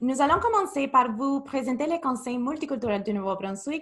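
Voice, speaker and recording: With a strong Spanish accent, a woman speaks at a high pitch, her tone bright and sharp and her intonation lively. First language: Spanish (speaking French). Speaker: youth program manager. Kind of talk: webinar presentation. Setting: video call webinar.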